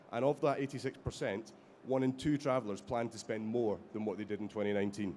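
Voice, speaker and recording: Speaking at a very fast pace, a man has a Scottish accent. His pitch is medium and varies in an ordinary way. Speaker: company executive, panelist. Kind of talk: conference panel presentation. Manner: halting, many fillers.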